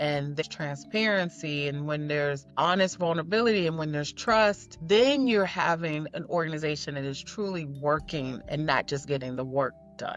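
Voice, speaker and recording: A woman with an American accent has a very deep, low voice and ordinary pitch variation. She keeps a moderate pace with hardly any pauses. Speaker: leadership coach. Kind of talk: podcast interview.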